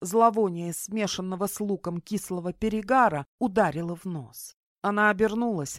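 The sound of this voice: An unforced reading voice with ordinary pitch variation is heard over a quiet background.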